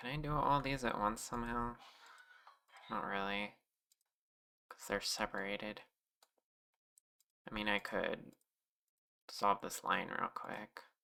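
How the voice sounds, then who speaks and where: The speaker talks quietly at a fairly slow pace, leaving long, frequent pauses. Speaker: streamer and 3D modeler. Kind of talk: casual livestream chat. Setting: livestream. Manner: quiet, ASMR-like.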